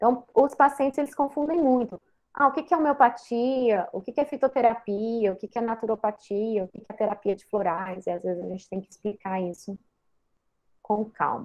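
A woman speaks with a fairly high pitch and lively intonation, in an unremarkable speaking voice. Her loudness swings widely. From Brazil, Goiás (Goiânia). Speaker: psychiatrist and lecturer. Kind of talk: guest lecture.

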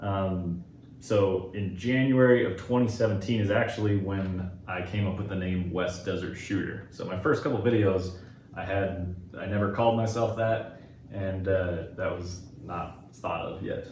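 Noticeable background noise is present. Over it, a man talks with fairly even intonation. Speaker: YouTube gun reviewer. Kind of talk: casual podcast chat.

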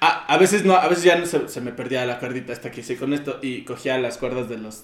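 With an ordinary speaking voice at a medium pitch, a man talks at a fairly quick pace, showing ordinary pitch variation and big swings in loudness. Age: 20s. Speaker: podcast guest. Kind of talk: casual chat.

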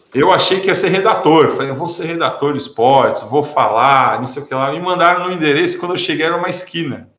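A high-pitched male voice at a very fast pace, with ordinary pitch variation and audible room echo. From interior of São Paulo state, Brazil. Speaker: entrepreneur in programmatic media. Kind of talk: interview, casual chat.

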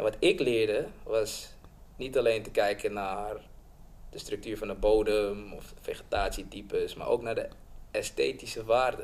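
Loudness swings widely from moment to moment. The pace is fairly slow. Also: man. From Suriname, raised in Amsterdam Bijlmer from age six. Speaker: film director. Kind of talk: casual interview. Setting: studio, around a table.

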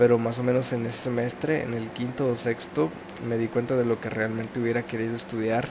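A man talks at a fairly quick pace in a Mexican accent, with monotone, flat intonation. Noticeable background noise runs underneath. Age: 20s. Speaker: podcaster. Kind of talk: casual monologue. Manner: halting.

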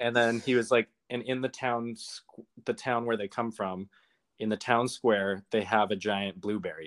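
An ordinary speaking voice with a Canadian accent, moderate pace and fairly even intonation, in a dry, close sound with no echo on a very clean recording with a silent background. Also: man, medium pitch for a man. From Calgary, Alberta, Canada. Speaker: podcast guest. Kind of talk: casual chat.

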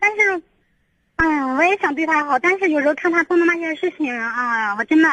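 A woman's extremely high, raised and projected voice, with lively intonation at a fairly quick pace, in a dry, close recording with no echo. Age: 20s. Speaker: caller seeking marriage advice. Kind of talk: call-in advice conversation. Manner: halting.

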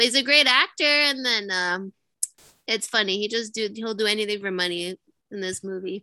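Loud and fairly high-pitched, a woman speaks with a bright, sharp tone in a dry, close sound with no echo. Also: ordinary pitch variation, moderate pace, quiet background. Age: 20s. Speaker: podcast co-host. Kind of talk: casual chat.

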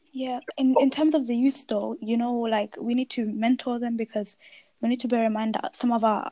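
A woman's somewhat breathy, dark, mellow voice at a fairly high pitch, with fairly even intonation and a fairly quick pace, in a very clean recording with a silent background. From Birmingham, England. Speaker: podcast host. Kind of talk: casual chat.

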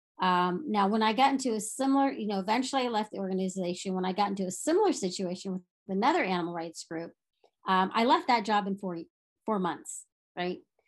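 Against a quiet background, a woman at a medium pitch speaks at a very fast pace. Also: lively intonation. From Texas. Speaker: nonprofit founder and vegan activist. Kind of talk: interview.

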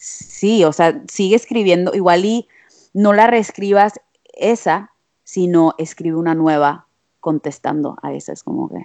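At a fairly slow pace, a woman with a dark, mellow tone speaks at medium pitch with ordinary pitch variation and big swings in loudness. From Monterrey, Mexico. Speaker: musician. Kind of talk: casual chat.

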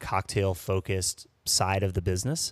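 This is a man with a normal speaking voice, pitched fairly low. He moves at a moderate pace with fairly even intonation. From Saint Louis, US Midwest. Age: 40s. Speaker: bartender and restaurant consultant. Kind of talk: casual chat.

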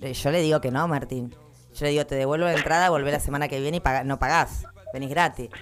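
A woman's very deep, low voice at a very fast pace. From Argentina, Patagonia (Caleta Olivia). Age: 20s. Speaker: radio host. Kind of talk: casual chat. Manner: animated.

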